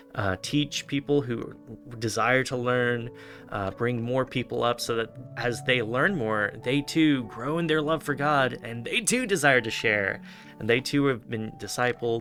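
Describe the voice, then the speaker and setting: A man speaks fairly slowly with ordinary pitch variation as music plays in the background. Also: medium pitch for a man. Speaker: online minister. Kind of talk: interviewer questions, conversational.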